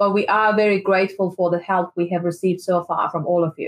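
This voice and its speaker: Her intonation is fairly even as a woman speaks at a medium pitch. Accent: Persian. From Iran. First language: Persian. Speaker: activist. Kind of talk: interview.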